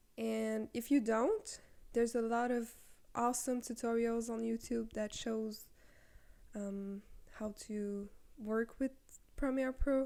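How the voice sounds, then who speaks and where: Speaking with a non-native accent at a very slow pace, the voice stays monotone and flat, with long, frequent pauses. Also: woman, fairly high pitch for a woman. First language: not English. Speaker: content creator. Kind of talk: tutorial. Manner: casual, with fillers. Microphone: handheld mic without stand.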